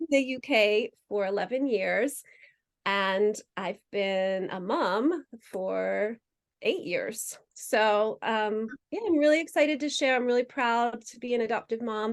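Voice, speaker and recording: In an American accent, a woman with a normal speaking voice talks at a fairly slow pace, her fairly high pitch carried by lively intonation. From United States. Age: 40s. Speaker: adoptive mother sharing her experience. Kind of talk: interview conversation.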